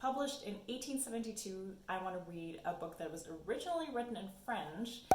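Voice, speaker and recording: A woman's lively intonation at a moderate pace, with noticeable background noise and audible room echo. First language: German. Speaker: book YouTuber. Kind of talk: casual vlog talk.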